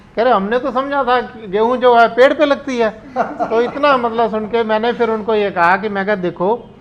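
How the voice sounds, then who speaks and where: Speech moves at a moderate pace. The pitch shows ordinary variation. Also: man. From Punjab, India. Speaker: panel guest. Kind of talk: talk show discussion.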